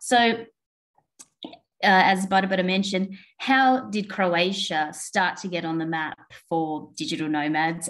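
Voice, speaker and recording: The speaker talks at a moderate pace. The accent is Australian. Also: woman. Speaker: co-working space owner, conference speaker. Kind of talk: webinar presentation. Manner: hesitant, many fillers.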